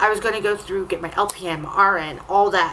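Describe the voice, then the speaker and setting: A woman's animated voice at medium pitch and moderate pace, with noticeable background noise. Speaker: vlogger. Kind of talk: casual chat.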